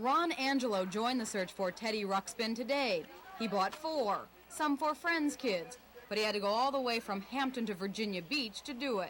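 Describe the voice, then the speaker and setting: A woman talks at a moderate speed, her fairly high voice rising and falling in a lively way while noticeable noise runs behind her. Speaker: TV news reporter. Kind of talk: TV news report.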